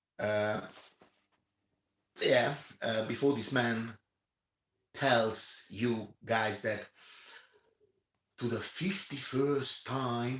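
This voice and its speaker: A man talks at a very slow pace with fairly even intonation. Long pauses come often. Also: medium pitch for a man. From Romania. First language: not English (English is third language). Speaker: commentator. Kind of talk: rant. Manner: halting, many fillers and repetitions.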